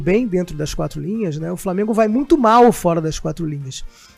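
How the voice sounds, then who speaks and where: A man with lively intonation at a moderate pace, music in the background. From Rio de Janeiro, Tijuca. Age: 50s. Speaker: lawyer and club presidential candidate. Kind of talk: interview.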